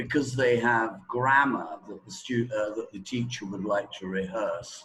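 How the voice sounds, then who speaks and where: A man with a British accent talks at a fairly slow pace and a medium pitch, with big swings in loudness. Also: ordinary pitch variation. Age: 60s. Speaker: teacher trainer. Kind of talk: interview. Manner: hesitant, many fillers.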